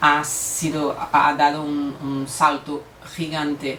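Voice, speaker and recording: A woman with a Brazilian accent talks at a very deep, low pitch and a very slow pace. Noticeable background noise and audible room echo are present. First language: Portuguese (speaking Spanish). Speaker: lawyer and mediator. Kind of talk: conference talk. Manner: halting, with fillers and self-corrections.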